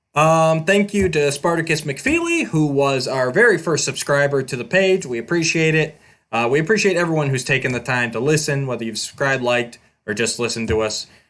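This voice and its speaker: A man with an ordinary speaking voice, fairly high in pitch with ordinary pitch variation, at a fairly quick pace against a quiet background. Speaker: podcast host. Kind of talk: casual podcast chat.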